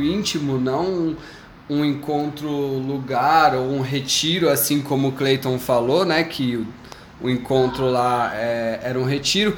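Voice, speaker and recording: A man talks at a medium pitch. Audible room echo and noticeable background noise surround his voice. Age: 20s. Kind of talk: personal faith testimony in casual chat.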